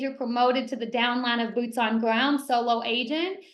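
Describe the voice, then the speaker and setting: Room echo is audible as a woman speaks at a fairly quick pace. Her pitch is high. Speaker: real estate team leader. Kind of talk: panel training discussion. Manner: talks fast when excited.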